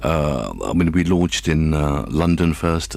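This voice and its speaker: A man speaks in a very deep, low pitch. Noticeable background noise is present. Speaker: radio station founder. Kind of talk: interview. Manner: halting.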